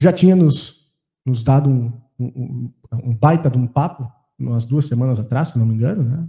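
Somewhat breathy and dark, mellow in tone, a man speaks at a medium pitch and a moderate pace with ordinary pitch variation. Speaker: podcast host. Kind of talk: sponsor reading; casual chat.

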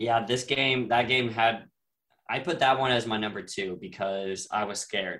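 In an American accent, a man uses a plain, everyday voice with ordinary pitch variation. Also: medium pitch for a man, moderate pace. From Texas. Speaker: sports podcaster. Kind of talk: casual chat.

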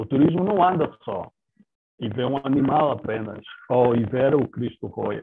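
In an unremarkable speaking voice, a man talks at medium pitch with lively intonation. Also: fairly slow pace. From Angola. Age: 30s. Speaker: tourism professional. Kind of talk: casual interview.

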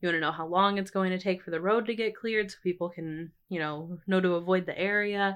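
Using a normal speaking voice at medium pitch, a woman speaks at a fairly quick pace. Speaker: student journalist, editor-in-chief. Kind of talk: casual chat.

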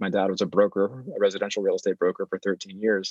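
A man speaks very fast with a West Coast US accent. The sound is dry and close, with no echo. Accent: General American, West Coast. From California, Bay Area. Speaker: real estate investor. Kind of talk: interview. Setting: remote recording, not in office. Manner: halting, frequent filler words.

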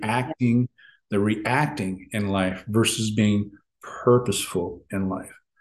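Over a quiet background, a man with an American accent speaks at a medium pitch with ordinary pitch variation. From United States. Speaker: relationship coach for men, navy veteran. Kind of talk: casual interview chat. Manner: halting, repeats words.

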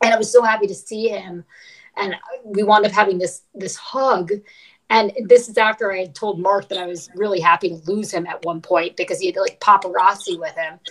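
This woman has an unremarkable speaking voice and an American accent, pitched in the medium range. Her loudness swings widely while her intonation stays fairly even. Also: fairly quick pace. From New York, Brooklyn. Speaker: ultramarathon runner. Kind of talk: casual chat. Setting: video call.

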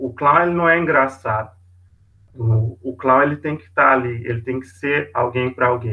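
Over music in the background, a man talks at a medium pitch and moderate pace, with ordinary pitch variation and big swings in loudness. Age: 20s. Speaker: volunteer hospital clown. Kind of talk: casual interview.

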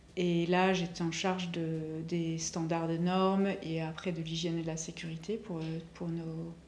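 Room echo is audible around a woman's voice. She speaks at a fairly slow pace in a fairly low pitch, with monotone, flat intonation. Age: 40s. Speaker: chocolatier. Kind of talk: casual interview chat.

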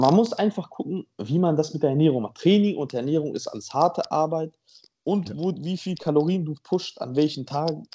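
A man's dark, mellow voice, fairly high in pitch with ordinary variation, at a moderate pace over a quiet background. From Montenegro. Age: 20s. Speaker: bodybuilder. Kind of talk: casual chat.

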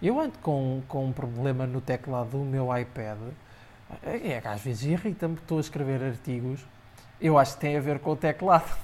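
Moderate pace from a man with a fairly high pitch and ordinary pitch variation. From Portugal, Aveiro district. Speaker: tech blogger. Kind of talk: casual chat. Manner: hesitant, frequent repetitions.

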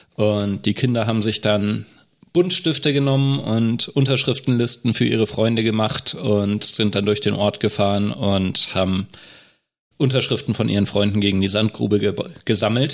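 A man with a plain, everyday voice speaks at a moderate pace and fairly low pitch, with ordinary pitch variation and very even loudness. The recording is very clean, with a silent background. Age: 30s. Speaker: state election candidate, deacon and nurse. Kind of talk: casual podcast discussion.

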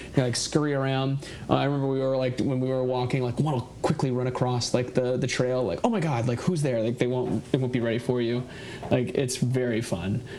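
Over noticeable background noise, a man with a medium-pitched voice talks at a fairly quick pace with fairly even intonation. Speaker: guest, hiker. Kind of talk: casual chat. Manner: laughs often.

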